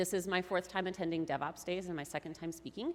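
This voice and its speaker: A woman with an American accent speaks at a fairly quick pace in a fairly low pitch. The recording is very clean, with a silent background. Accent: Minnesota accent, usually kept in check. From Minnesota (Mankato). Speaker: tech marketer, conference speaker. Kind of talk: conference talk. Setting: stage with audience. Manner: casual, animated.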